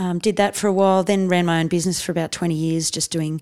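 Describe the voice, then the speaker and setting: Very fast and fairly even in intonation, a woman with an Australian accent speaks on a very clean recording with a silent background. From Australia, raised partly in India. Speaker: comedian. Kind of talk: casual chat.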